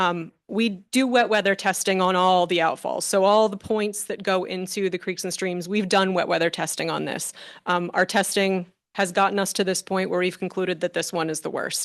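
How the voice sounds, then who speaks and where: A woman speaks at a moderate pace and medium pitch with fairly even intonation over a quiet background. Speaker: stormwater engineer presenting to council. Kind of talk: presentation at council meeting. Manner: loud.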